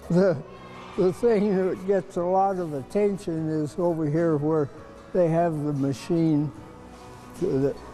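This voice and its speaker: A man's high-pitched voice over background music, very slow and with fairly even intonation. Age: 80s+. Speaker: museum volunteer. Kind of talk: interview answer. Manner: sincere, warm storyteller.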